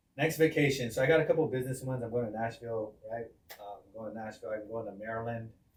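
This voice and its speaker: Very fast and medium in pitch, a man talks with ordinary pitch variation and big swings in loudness. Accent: American. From US West Coast, San Diego. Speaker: real estate agent and trainer. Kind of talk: casual chat. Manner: casual, slangy.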